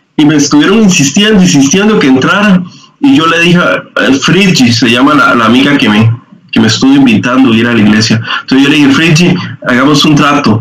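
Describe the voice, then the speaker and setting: With lively intonation and a fairly high pitch, a man talks at a fairly quick pace over noticeable background noise. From Costa Rica, Guanacaste (Liberia). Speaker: church youth leader. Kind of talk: testimony.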